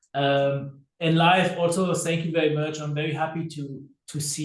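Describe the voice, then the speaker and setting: Audible room echo surrounds a man's voice. He sounds somewhat breathy and talks at a moderate pace. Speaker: company call co-host. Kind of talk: online company call announcements.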